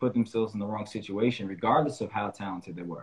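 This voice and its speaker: Here a man talks in an American accent. His pitch variation is ordinary. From upstate New York (Albany); New York. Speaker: podcast host, basketball coach. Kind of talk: interview. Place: home room. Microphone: video call.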